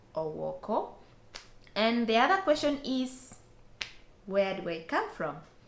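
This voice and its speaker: A woman talks at a fairly slow pace with lively intonation. Audible room echo and noticeable background noise surround her voice. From Western Kenya. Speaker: vlogger. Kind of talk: casual Q&A vlog.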